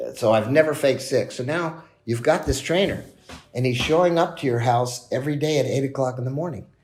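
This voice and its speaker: With an unremarkable speaking voice, a man talks at a fairly quick pace, his pitch fairly high and its variation ordinary. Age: 60s. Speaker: business executive. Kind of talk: podcast interview. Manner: conversational, with fillers and repetitions.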